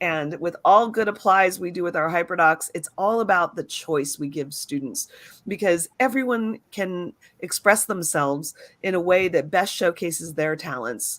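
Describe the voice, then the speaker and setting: At a moderate pace, a woman with a fairly low pitch speaks in an ordinary speaking voice. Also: lively intonation. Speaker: educator and show co-host. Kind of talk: live webinar presentation. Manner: many filler words.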